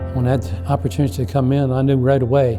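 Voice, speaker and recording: A man's voice sits at medium pitch. Behind him there is music. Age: 80s+. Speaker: retired minister. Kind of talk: interview answer.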